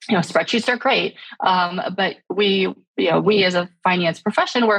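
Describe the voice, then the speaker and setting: At a moderate pace, a woman speaks at a medium pitch with vocal fry and fairly even intonation, the sound dry and close with no echo. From born in Shanghai, raised speaking Chinese at home. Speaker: startup founder and CEO. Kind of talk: podcast interview. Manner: many fillers and false starts.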